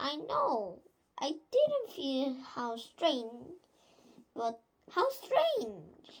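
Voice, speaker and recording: Using a put-on character voice, a woman speaks in a high pitch at a very slow pace with long, frequent pauses. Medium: solo performance. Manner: sly, gloating.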